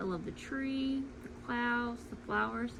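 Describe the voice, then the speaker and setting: A woman's fairly high-pitched voice rings out with audible echo from the room. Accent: slight Louisiana. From Louisiana. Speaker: cross-stitch vlogger. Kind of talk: casual chat. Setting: home at night.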